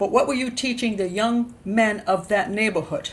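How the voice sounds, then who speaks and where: At a moderate pace, a woman with an American accent speaks in a somewhat breathy voice with a fairly high pitch and ordinary pitch variation. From Maryland, USA. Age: old. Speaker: criminal profiler and YouTube host. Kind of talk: true-crime commentary to camera.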